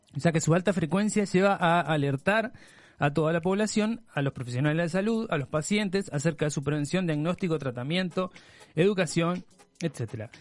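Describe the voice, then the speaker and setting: With ordinary pitch variation, a man talks at a moderate pace in a high voice. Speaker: podcast co-host. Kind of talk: casual chat.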